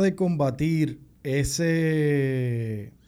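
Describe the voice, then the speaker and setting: A man's fairly high voice has a dark, mellow tone. Its pitch variation is ordinary. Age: 30s. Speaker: podcast co-host. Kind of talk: casual chat.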